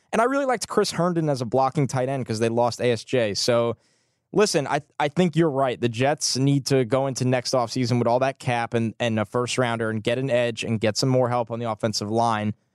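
With a quiet background and a dry, close sound free of echo, the voice moves at a fairly quick pace with ordinary pitch variation. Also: man, medium pitch for a man. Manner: animated, enthusiastic.

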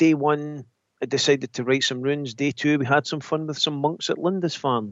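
In a Scottish accent, a man speaks with a fairly high pitch. His tone is animated and enthusiastic. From Scotland. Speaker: spiritualist medium. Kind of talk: casual chat. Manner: animated, enthusiastic.

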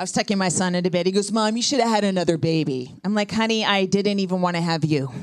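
A woman's medium-pitched voice at a very fast pace, with very even loudness, hardly any pauses, ordinary pitch variation and noticeable background noise. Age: 50s. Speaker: comedian. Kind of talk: stand-up. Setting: stage with audience.

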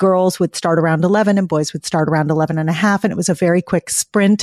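A woman's plain, everyday voice at a moderate pace in a very clean recording with a silent background and a dry, close sound with no echo. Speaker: pediatrician and author. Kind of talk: casual interview.

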